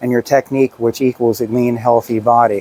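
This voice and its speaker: Against noticeable background noise, a man speaks at a moderate pace and medium pitch, the sound dry and close with no echo. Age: 60s. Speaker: personal trainer. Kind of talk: tutorial. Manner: casual.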